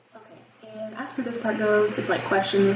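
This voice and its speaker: A woman with an American accent speaks at a medium pitch. Room echo is audible, along with noticeable background noise. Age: 20s. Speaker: student. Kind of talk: mock job interview answers to camera. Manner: fast; hesitant, many fillers.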